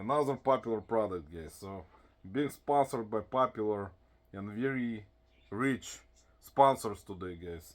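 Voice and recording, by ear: Recorded very cleanly against a silent background, a man with a strong non-native accent and a fairly low pitch talks at a moderate pace with lively intonation.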